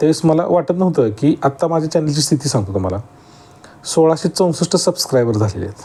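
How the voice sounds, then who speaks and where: With a dark, mellow tone that is somewhat breathy, a man speaks with lively intonation. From Maharashtra, Sangli district (Atpadi). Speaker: farmer YouTuber. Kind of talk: casual vlog talk to camera.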